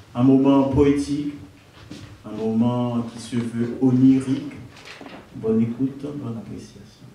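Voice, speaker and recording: Amid noticeable background noise, a man speaks at a fairly slow pace with long, frequent pauses. His medium-pitched voice stays monotone and flat, while his loudness swings widely. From Haiti. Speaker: poet. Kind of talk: introduction to live audience.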